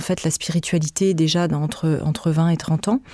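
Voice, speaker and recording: A woman at a fairly slow pace. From France. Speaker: podcast creator and author. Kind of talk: in-depth interview. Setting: studio. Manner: halting, frequent repetitions.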